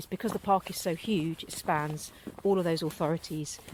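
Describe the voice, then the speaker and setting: Noticeable background noise accompanies a woman with a fairly low pitch. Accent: southern English. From south coast of England. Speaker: local authority board member and former TV producer. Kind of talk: casual podcast conversation. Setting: outdoors at dusk.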